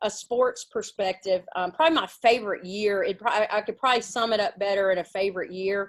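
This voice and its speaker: Her pitch fairly high with ordinary variation, a woman talks at a fairly quick pace. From Mississippi. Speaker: women's basketball coach. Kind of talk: interview.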